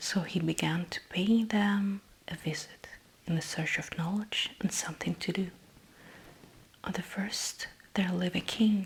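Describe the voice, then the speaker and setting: Somewhat breathy and flat in intonation, a woman speaks in a monotone at medium pitch. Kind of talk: ASMR book reading, bedtime story. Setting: close microphone, headphones, page flipping sounds. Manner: soft, slow narration.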